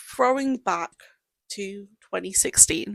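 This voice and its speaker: A woman speaks at a very slow pace with lively intonation. The sound is dry and close, with no echo. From United Kingdom. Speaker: podcast host. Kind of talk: casual podcast conversation.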